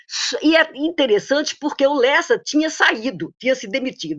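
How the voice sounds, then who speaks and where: A woman speaks at a moderate pace. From Paraíba, northeastern Brazil. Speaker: economist, former professor. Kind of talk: tribute testimony in a webinar. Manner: halting, many false starts.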